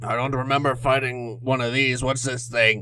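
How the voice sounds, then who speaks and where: A man's put-on character voice, medium-pitched and monotone with flat intonation, at a moderate pace over clear background noise. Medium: actual play. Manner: blunt, mockingly cheerful.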